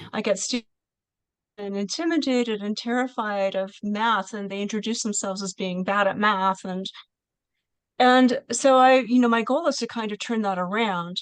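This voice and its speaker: With ordinary pitch variation, a woman speaks at a fairly high pitch against a quiet background, the sound dry with no echo. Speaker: college math teacher. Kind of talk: Q&A discussion. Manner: fast. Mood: thoughtful, earnest. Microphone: video call.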